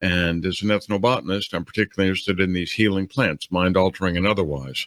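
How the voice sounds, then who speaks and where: Very fast and fairly low, a man talks with a New Orleans accent on a very clean, dry, close recording with no echo and a silent background. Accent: American, New Orleans. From US South, New Orleans. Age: 60s. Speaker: ethnobotanist. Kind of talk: interview.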